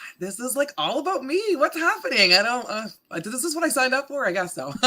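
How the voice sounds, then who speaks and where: A woman with a Canadian accent speaks at a fairly quick pace in a raised, projected voice with a bright, sharp tone. Her pitch swings very widely and her loudness shifts in big swings. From Canada, Windsor, Ontario. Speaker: radio morning show host. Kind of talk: casual interview chat. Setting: live stream.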